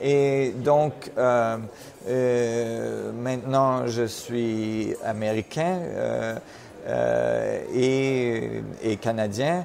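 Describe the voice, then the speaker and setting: A man speaks at a very slow pace. Audible room echo and noticeable background noise surround him. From Switzerland. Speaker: physicist, research director. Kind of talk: interview. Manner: halting, many repetitions.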